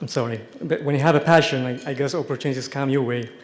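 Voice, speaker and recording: A man with an Ethiopian accent, fairly even intonation and a fairly quick pace. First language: Amharic. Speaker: TV science show host, award recipient. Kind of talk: award acceptance speech.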